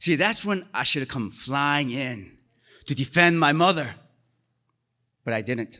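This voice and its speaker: A man with a Korean accent, fairly high pitch, bright, sharp tone, lively intonation, fairly slow pace and long, frequent pauses, on a very clean recording with a silent background. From Korea, moved to US as a child. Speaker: storyteller. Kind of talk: live storytelling. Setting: stage with audience.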